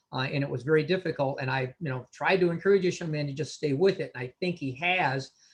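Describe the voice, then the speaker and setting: With hardly any pauses, a somewhat breathy man talks at a very fast pace, his fairly high pitch showing ordinary variation. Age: 60s. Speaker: veteran sports official and mentor. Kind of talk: panel discussion. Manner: hesitant, many fillers.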